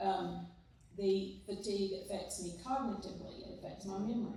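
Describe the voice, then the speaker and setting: With a Southern US accent, a woman talks at a moderate pace amid noticeable background noise and audible room echo. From Mississippi. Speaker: church member sharing testimony. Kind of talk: testimony. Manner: occasional word-finding pauses.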